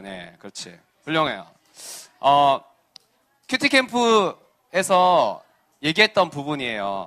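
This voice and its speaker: In a Busan accent, this voice has a bright, sharp tone, moving at a very slow pace with long, frequent pauses, very wide pitch swings and big swings in loudness. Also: man. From South Korea, Busan (Geumjeong-gu). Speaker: children's pastor. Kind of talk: sermon to children. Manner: animated.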